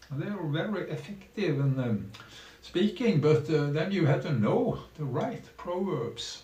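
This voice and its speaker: Amid noticeable background noise and audible room echo, a man speaks at a fairly slow pace with very wide pitch swings. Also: fairly high pitch for a man. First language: Norwegian. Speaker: streamer. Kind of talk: live stream commentary. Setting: small room at home. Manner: halting, many fillers.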